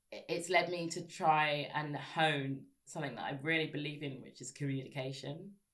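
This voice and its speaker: In a southern English accent, the speaker talks at a moderate pace with fairly even intonation and big swings in loudness. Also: woman, very deep, low pitch for a woman. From Sussex, southern England. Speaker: broadcaster and writer. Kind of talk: casual interview chat.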